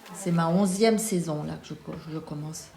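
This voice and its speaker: The speaker talks at a fairly slow pace, with noticeable background noise. Room echo is audible. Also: woman. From Lorraine, eastern France. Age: 70s. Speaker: retired teacher, association president. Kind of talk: documentary interview. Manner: hesitant, many fillers.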